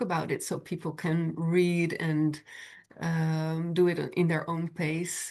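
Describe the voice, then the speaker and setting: A woman with a non-native accent and a fairly low pitch, over a quiet background. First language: not English. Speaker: podcast host. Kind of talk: interview.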